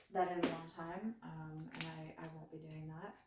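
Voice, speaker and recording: A woman speaks softly at a moderate pace. Audible room echo surrounds her voice. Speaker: home cooking vlogger. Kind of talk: cooking tutorial. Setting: home kitchen. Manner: soft-spoken; hesitant, many fillers.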